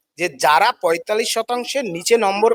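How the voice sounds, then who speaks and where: A man speaks with a high pitch and lively intonation. The sound is dry and close, with no echo. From West Bengal, India. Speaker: teacher and protest leader. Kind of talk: impassioned protest statement to reporter. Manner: fiery, emphatic.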